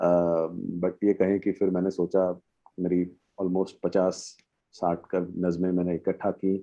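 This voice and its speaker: A man speaks in an Odia accent with monotone, flat intonation and very even loudness. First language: Odia (speaking Hindi). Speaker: poet. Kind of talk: interview on a panel. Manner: halting, many fillers.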